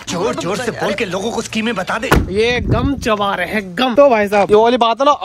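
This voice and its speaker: Loud background noise accompanies speech at a fairly quick pace, with ordinary pitch variation and a dry sound with no echo. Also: man. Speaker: vlogger teaching driving. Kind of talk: casual vlog chat. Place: street. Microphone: phone near.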